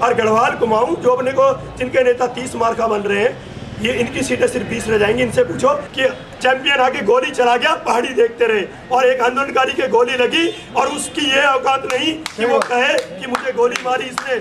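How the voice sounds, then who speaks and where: A man's extremely high-pitched voice with fairly even intonation against noticeable background noise. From Garhwal, Uttarakhand. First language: Garhwali (speaking Hindi). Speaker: activist rally leader, film director. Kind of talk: political rally speech. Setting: outdoor rally. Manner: loud.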